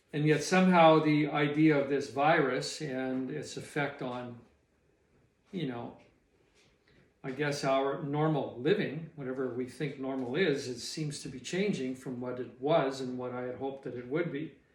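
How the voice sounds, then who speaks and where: A man speaks at a moderate pace with a fairly high pitch and fairly even intonation, his loudness swinging widely. Audible room echo fills the recording. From Canadian prairies. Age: 60s. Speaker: retired small business owner. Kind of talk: personal reflection monologue. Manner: halting.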